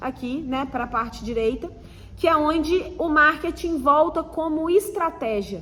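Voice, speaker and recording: Raised and projected, a woman's high-pitched voice rings with audible room echo over noticeable background noise. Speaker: marketing teacher. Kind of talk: online lecture. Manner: hesitant fillers.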